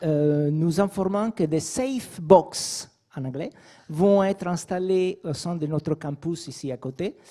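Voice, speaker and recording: A very slow-paced man's voice, high in pitch, with a dark, mellow tone and ordinary pitch variation. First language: not French (speaking French). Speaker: audience member, university professor. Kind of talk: audience question. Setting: lecture hall with audience. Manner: halting.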